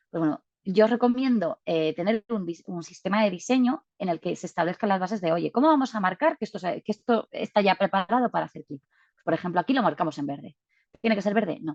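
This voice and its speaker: Her pace is very fast and her intonation lively. The woman has medium pitch, and the sound is dry and close with no echo. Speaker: data visualization speaker. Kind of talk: webinar presentation.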